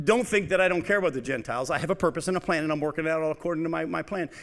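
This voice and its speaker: Loud and very fast, a man speaks in a high voice with lively intonation, on a very clean recording with a silent background. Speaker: radio preacher. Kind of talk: sermon.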